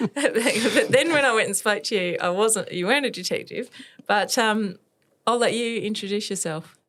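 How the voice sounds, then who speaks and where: In an Australian accent, the speaker talks at a moderate pace with ordinary pitch variation, on a very clean recording with a silent background. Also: woman, fairly high pitch for a woman. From Western Australia. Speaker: podcast host. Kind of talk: scripted intro and interview.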